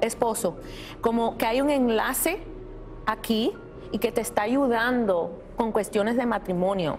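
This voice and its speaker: Over clear background music, a woman speaks at a fairly slow pace with very even loudness. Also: ordinary pitch variation. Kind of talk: reading for audience members. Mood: gentle, reassuring. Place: hall.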